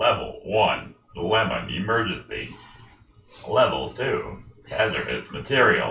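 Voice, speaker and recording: A man performs in a put-on character voice. There is slight echo. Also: fairly slow pace. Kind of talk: casual live stream chat. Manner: announcing, monotone. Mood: joking, playful.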